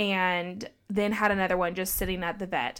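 A woman talks at a moderate pace. The recording is very clean and the background silent. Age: 20s. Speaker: podcast co-host. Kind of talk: casual chat.

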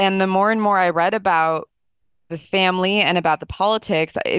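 Against a quiet background, a woman with a fairly low pitch talks at a moderate pace with ordinary pitch variation, the sound dry and close with no echo. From New Jersey, then Illinois (US Midwest). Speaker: historian and attorney. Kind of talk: interview, informative discussion.

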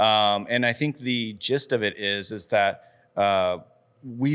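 In a very clean recording with a silent background, a man with an American accent talks at a medium pitch with ordinary pitch variation in an unremarkable speaking voice. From Colorado, Fort Collins. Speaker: pizza restaurant owner and chef. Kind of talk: casual interview chat.

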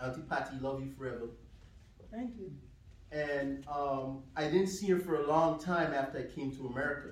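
There is noticeable background noise as a man with a fairly high pitch speaks at a moderate pace with ordinary pitch variation. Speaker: preacher giving eulogy for his mother. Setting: funeral service with congregation. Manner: emotional, warm and earnest, measured pace, occasional soft laughter.

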